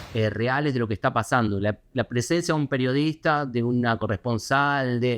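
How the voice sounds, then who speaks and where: A man with a medium-pitched voice and ordinary pitch variation talks at a fairly quick pace, the sound dry and close with no echo against a quiet background. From Argentina, Buenos Aires. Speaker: foreign correspondent. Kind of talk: interview. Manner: hesitant, many fillers.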